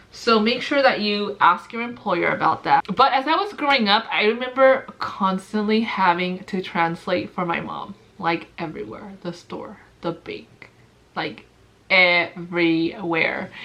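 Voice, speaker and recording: With a Spanish accent and big swings in loudness, the speech moves at a fairly slow pace with ordinary pitch variation over noticeable background noise. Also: woman, medium pitch for a woman. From US, Mexican-American family. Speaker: nurse vlogger. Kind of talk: casual vlog talk. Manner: sometimes jumbled words, hesitant.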